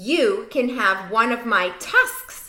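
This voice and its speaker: A woman does a growling put-on character voice, pitched fairly high. Her intonation is lively. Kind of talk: bedtime story. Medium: read story.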